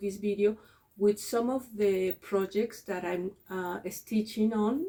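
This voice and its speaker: A woman with a Spanish accent, medium pitch, a dark, mellow tone and fairly even intonation. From Mexico. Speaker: cross-stitch video creator and teacher. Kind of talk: casual vlog chat. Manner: halting, many fillers and repeats.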